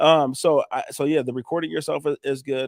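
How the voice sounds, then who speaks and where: Recorded dry and close with no echo against a silent background, the very clean clip carries an animated tone. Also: man. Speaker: roofing contractor. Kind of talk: casual chat. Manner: fast.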